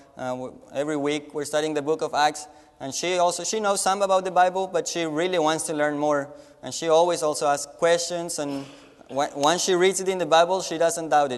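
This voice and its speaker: Speaking with a Spanish accent, a man with a fairly high voice talks at a fairly quick pace and fairly even intonation amid noticeable background noise. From Latin America. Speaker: missionary. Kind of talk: mission report presentation. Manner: halting with frequent repetitions.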